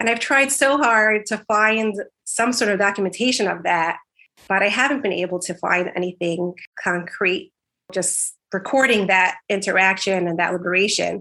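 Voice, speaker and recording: A woman's bright, sharp tone in an American accent, with ordinary pitch variation and a quiet background. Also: medium pitch for a woman, moderate pace. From New York City (Brooklyn). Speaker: speech language pathologist, genealogy researcher. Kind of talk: interview.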